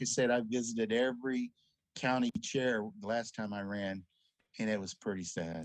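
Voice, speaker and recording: Against a quiet background, a man with an American accent speaks at a moderate pace and a fairly low pitch. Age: 60s. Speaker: congressional candidate. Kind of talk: political interview. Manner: hesitant, many fillers.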